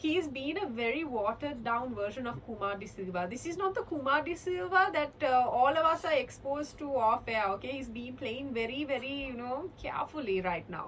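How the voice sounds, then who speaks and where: A woman speaks at a fairly quick pace with a high voice. Her intonation is lively, with hardly any pauses. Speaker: radio host. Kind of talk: radio interview. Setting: radio studio. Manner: chatty, fast.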